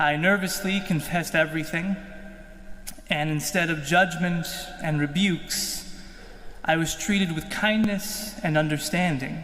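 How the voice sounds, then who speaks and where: Amid noticeable background noise and audible room echo, a high-pitched man speaks at a fairly slow pace with fairly even intonation and long, frequent pauses. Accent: American. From Kansas, US. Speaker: seminarian. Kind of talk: testimony.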